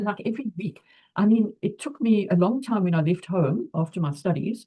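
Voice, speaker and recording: A woman speaks at a medium pitch and a moderate pace. Her voice is somewhat breathy, with lively intonation. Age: 80s+. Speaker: retired physiotherapist. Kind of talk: interview answer.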